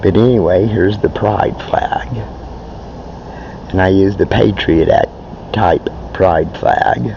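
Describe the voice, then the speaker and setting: Noticeable background noise fills the recording. A man speaks at a very slow pace. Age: 60s. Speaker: vlogger. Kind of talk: casual monologue; inspirational speech. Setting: outdoors. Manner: halting.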